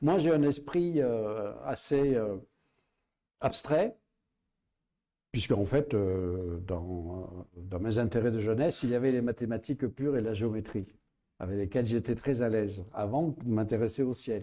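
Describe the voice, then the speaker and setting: Against a quiet background, a man with a Provençal accent speaks fairly slowly in a dark, mellow tone, leaving long, frequent pauses. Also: medium pitch for a man, lively intonation. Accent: southern French (Provençal). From Provence, southern France. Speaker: astrophysicist and writer. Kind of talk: public interview. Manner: hesitant, with many fillers.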